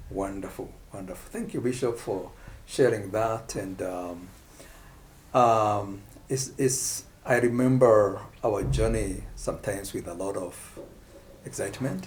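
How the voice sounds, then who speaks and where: With vocal fry and a fairly low pitch, a man speaks at a fairly slow pace with ordinary pitch variation, long, frequent pauses and audible room echo. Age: 60s. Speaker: pastor. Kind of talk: casual chat.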